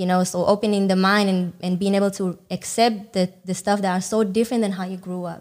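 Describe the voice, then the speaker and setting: With an Israeli accent, the speaker moves at a fairly quick pace in a monotone, flat intonation. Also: woman. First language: Hebrew. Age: 20s. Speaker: dancer. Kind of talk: casual chat.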